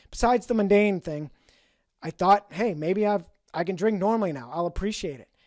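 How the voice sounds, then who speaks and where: A man talks very fast at a high pitch with a Boston accent. The recording is very clean, with a silent background. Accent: Boston accent, somewhat noticeable. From New England, Boston. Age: 50s. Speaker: sobriety podcaster. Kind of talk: personal storytelling monologue.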